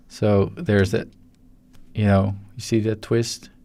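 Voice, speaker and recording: A man with a Dutch accent mumbles very slowly at a fairly low pitch. His tone is dark and mellow, and his intonation is fairly even. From Netherlands. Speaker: 3D animator. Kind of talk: live-stream tutorial. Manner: mumbling; halting.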